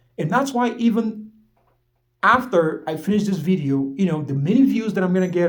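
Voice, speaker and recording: A man with a non-native accent speaks at a high pitch and a fairly quick pace with lively intonation. Audible room echo surrounds his voice. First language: not English. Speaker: motivational vlogger, aspiring life coach. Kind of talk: motivational monologue. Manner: halting, repeating words.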